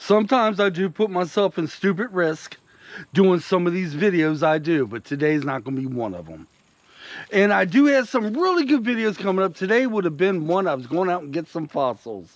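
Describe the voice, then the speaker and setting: In a Southern US accent, a man speaks with a high pitch at a fairly quick pace. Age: 50s. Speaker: YouTube vlogger. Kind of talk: casual vlog talk to camera.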